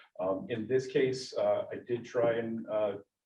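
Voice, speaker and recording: This man speaks at a medium pitch, his voice somewhat breathy. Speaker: school district administrator presenting policy updates. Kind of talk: board meeting presentation. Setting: school board meeting room. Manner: many filler words (um, uh).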